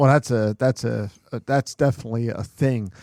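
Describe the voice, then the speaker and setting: In a Philadelphia accent, a man with a dark, mellow tone is captured in a very clean, dry, close recording with a silent background and no echo. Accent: Philadelphia-area. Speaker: podcast host. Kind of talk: casual chat.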